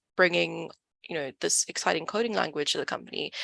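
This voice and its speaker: A woman with a South African accent, recorded dry and close with no echo, over a quiet background. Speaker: data company community manager. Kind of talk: online event talk.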